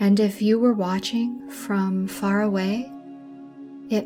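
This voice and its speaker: Music plays in the background as the speaker talks in a soothing tone at a very slow pace with ordinary pitch variation. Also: woman. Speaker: sleep story narrator. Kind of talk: sleep story. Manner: soothing, slow.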